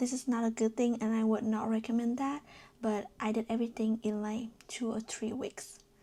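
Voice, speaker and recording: This speaker has a non-native accent and keeps a moderate pace. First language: not English. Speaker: fashion design student vlogger. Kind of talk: casual vlog tutorial. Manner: hesitant, many fillers.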